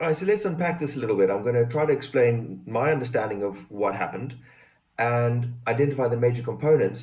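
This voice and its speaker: Amid audible room echo, a man speaks very fast in a somewhat breathy voice. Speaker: hypnotherapist. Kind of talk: personal testimony and explanation.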